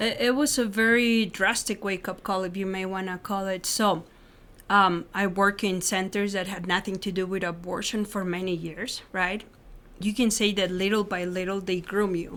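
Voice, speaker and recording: Speaking in a Spanish accent with fairly even intonation, a woman is heard on a very clean recording with a silent background. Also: medium pitch for a woman, moderate pace. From Mexico City, Mexico. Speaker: former clinic worker turned pro-life advocate. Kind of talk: interview testimony.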